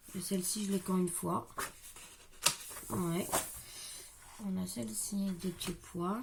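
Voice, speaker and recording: Over noticeable background noise, a soft-spoken woman at medium pitch talks at a fairly slow pace. She leaves long, frequent pauses. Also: ordinary pitch variation. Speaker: crafting youtuber. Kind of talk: product haul video. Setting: at home.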